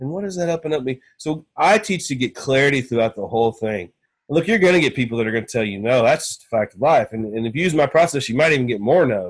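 In an East Texas accent, a man talks at a very fast pace with hardly any pauses. The background is quiet. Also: medium pitch for a man, lively intonation. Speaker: real estate investor and sales coach. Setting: podcast interview.

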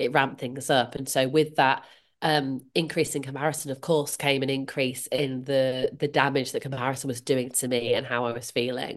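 Monotone, flat intonation in a Yorkshire accent, at a moderate pace with hardly any pauses, over a quiet background. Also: woman, very deep, low pitch for a woman. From northern England, Leeds. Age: 40s. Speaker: comparison coach. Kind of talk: interview.

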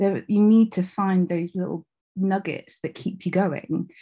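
Against a quiet background, a woman speaks at a fairly slow pace in a dark, mellow, somewhat breathy tone, at a medium pitch with fairly even intonation. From England, North Devon. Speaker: TV producer and journalist. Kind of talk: interview.

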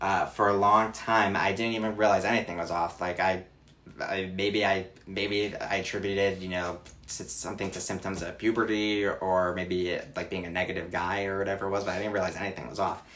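Fairly even in intonation, this man speaks with a fairly low pitch. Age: 20s. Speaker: accountant and mental health advocate. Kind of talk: personal testimony in interview. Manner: hesitant, many fillers.

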